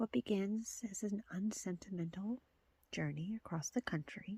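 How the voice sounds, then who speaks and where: A soft-spoken woman with a medium pitch, a dark, mellow tone, a somewhat breathy quality and ordinary pitch variation, in a dry, close sound with no echo. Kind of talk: ASMR reading of video tape back covers.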